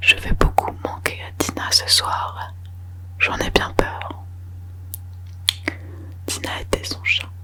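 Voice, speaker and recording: A soft-spoken woman's whisper at a very slow pace, with long, frequent pauses, big swings in loudness and noticeable background noise. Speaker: ASMR creator. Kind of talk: whispered audiobook reading for sleep (ASMR). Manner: whispered, soft, slow.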